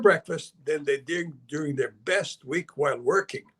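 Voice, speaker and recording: A man speaks with a Serbian accent. His pace is moderate. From Canada, born in Belgrade, Serbia. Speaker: investment advisor and author. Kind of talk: interview.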